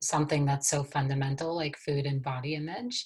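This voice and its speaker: A woman with an American accent speaks in a very deep, low pitch, somewhat breathy and monotone with flat intonation, on a very clean recording with a silent background. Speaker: wellness coach. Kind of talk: casual interview chat.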